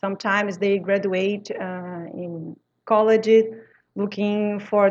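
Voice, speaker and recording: In a Brazilian accent, a woman speaks at a medium pitch with monotone, flat intonation. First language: French. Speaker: language teacher. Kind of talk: interview conversation. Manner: halting non-native phrasing.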